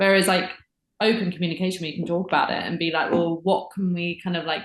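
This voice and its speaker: A woman talks very fast at a medium pitch. Her intonation stays fairly even. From England, Windsor. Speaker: podcast guest. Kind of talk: casual chat.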